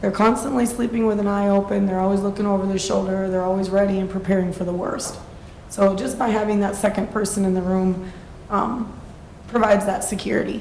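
A woman at a medium pitch talks at a fairly quick pace in a monotone, flat intonation. Her voice carries audible room echo. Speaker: sober housing program operator. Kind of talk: public testimony at city council meeting. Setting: city council meeting. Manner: loud.

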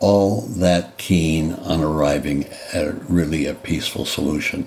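Over noticeable background noise, a man with a very deep, low voice speaks at a fairly slow pace with fairly even intonation. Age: 80s+. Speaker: former senator, presidential candidate. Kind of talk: interview answer.

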